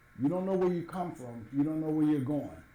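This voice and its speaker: A man with an American accent, fairly high in pitch, dark and mellow in tone, somewhat breathy, with ordinary pitch variation and audible room echo. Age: 70s. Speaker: former city administrator. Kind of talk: interview.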